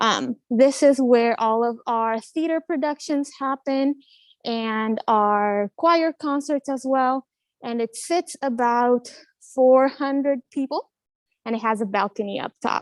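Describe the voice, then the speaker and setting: A woman speaks in a Spanish accent at a very slow pace, her pitch high with ordinary variation. The sound is dry and close, with no echo. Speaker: college admissions counselor. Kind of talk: live campus tour. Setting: walking tour on campus, live stream. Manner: casual, with many fillers.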